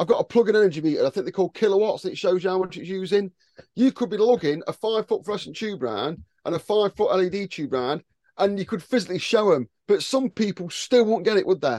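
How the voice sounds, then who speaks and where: Talking at a very fast pace, a man with a high pitch and a dark, mellow tone uses lively intonation, heard in a dry, close sound with no echo. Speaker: podcast host. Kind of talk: casual chat.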